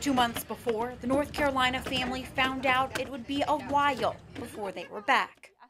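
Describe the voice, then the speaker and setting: A woman's high-pitched voice at a moderate pace, fairly even in intonation, against noticeable background noise. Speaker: TV news reporter. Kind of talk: TV news report.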